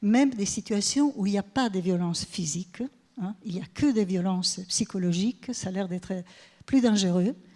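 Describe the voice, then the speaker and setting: Her tone dark, mellow and somewhat breathy, a woman speaks at a medium pitch with ordinary pitch variation. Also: moderate pace. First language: Italian (speaking French). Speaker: professor. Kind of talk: conference talk. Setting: stage with audience. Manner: halting.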